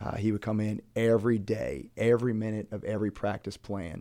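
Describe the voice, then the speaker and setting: An unremarkable speaking voice from a man with an American accent, fairly low in pitch, fairly quick, with fairly even intonation. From Maryland, Brunswick. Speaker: high school basketball coach. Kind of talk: interview.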